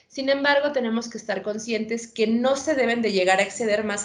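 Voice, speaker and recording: There is audible room echo as a woman with a fairly high pitch talks at a moderate pace. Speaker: veterinarian. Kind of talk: lecture.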